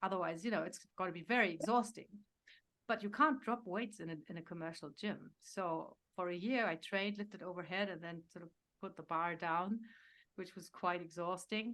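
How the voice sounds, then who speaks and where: A woman at a medium pitch and moderate pace, with ordinary pitch variation and big swings in loudness, in a very clean recording with a silent background. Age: 60s. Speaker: health coach. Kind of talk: interview. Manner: halting.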